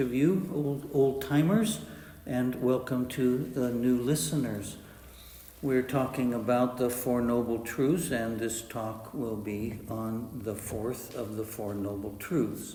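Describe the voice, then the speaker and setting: Speaking at a very slow pace, a man with a medium-pitched voice shows ordinary pitch variation, with audible room echo and noticeable background noise. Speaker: meditation teacher. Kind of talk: dharma talk. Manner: halting with many uh fillers.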